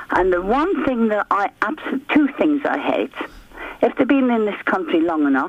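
Moderate pace against noticeable background noise. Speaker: radio caller. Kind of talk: phone-in chat.

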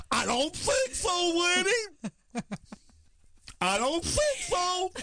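Extremely high and delivered at a very slow pace, this put-on character voice makes very wide pitch swings. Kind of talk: sassy, clipped. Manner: feisty, defiant.

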